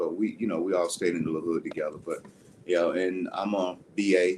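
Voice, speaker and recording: A man speaks with a Southern US accent. He keeps a moderate pace. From US South, South Carolina. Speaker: youth mentor and boxing coach. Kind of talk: interview. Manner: halting.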